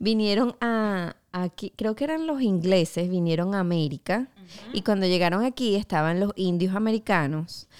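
A woman with a Spanish accent at a medium pitch and moderate pace, lively in intonation with hardly any pauses, dry and close with no echo on a very clean recording with a silent background. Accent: Spanish-sounding. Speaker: podcast co-host. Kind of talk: casual chat.

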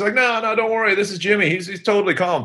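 A man speaks very fast with an American accent. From Turkey (third culture kid, US father, Filipino mother). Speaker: entrepreneur and speaker. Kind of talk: interview.

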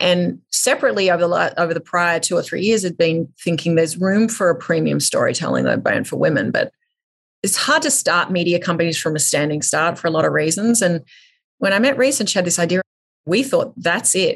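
The speaker has an Australian accent. She, a woman, talks at a fairly quick pace. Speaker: media company CEO. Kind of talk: interview.

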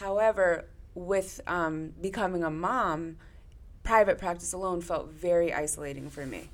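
A woman with an American accent talks in a plain, everyday voice at a fairly low pitch. Her pace is moderate and her intonation fairly even. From Connecticut. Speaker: therapist. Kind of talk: casual chat.

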